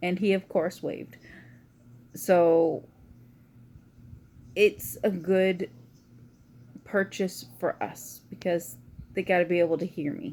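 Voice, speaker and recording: Quiet and very slow, a woman speaks at a fairly low pitch with a dark, mellow tone, ordinary pitch variation, and long, frequent pauses. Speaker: vlogger. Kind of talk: casual chat.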